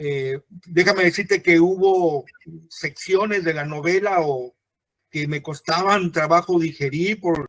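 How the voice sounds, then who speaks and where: The speech moves at a very slow pace, with a dry, close sound and no echo. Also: man, high pitch for a man, fairly even intonation. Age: 60s. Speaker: book presenter, interviewer. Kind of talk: book presentation conversation. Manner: halting, many fillers.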